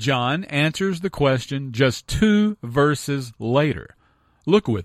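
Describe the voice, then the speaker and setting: In a plain, everyday voice, a man with a fairly high pitch and lively intonation speaks in a dry, close sound with no echo, on a very clean recording with a silent background. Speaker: radio Bible teacher. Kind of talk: radio teaching on scripture. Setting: radio studio. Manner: earnest, didactic.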